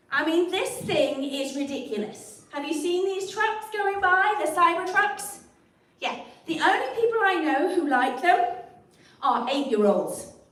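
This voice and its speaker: A woman talks at a fairly slow pace with an extremely high pitch and very wide pitch swings. The room echo is audible and there is noticeable background noise. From England. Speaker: comedian. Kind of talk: stand-up; livestream chat. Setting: livestream. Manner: animated.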